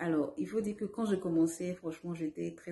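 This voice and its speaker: A woman talks at a fairly quick pace. Her voice is very deep and low, with a dark, mellow tone. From Côte d'Ivoire. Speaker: language learner. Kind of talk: testimony. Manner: hesitant, with fillers.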